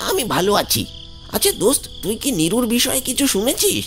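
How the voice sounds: Putting on a cartoonish character voice, a man speaks at an extremely high pitch and moderate pace against clear background noise.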